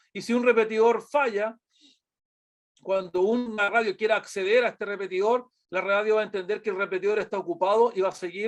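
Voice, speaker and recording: A man speaks with a Chilean accent against a quiet background. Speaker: product presenter. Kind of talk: webinar presentation. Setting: online webinar. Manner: halting with many fillers.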